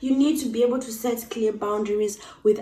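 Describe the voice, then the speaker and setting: With an East African accent, a woman talks at a moderate pace and a fairly high pitch. Her intonation is fairly even. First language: Swahili. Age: 20s. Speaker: YouTuber. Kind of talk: casual vlog talk.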